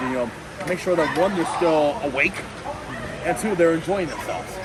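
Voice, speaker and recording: Over crowd noise in the background, a man speaks at a very fast pace with a high pitch and an energetic, upbeat tone. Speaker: ring announcer. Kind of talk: podcast interview answer.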